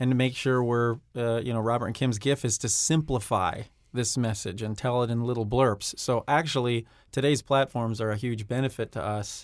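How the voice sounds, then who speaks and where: A man's ordinary speaking voice at medium pitch, with fairly even intonation and a fairly quick pace. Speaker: company president. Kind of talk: radio interview.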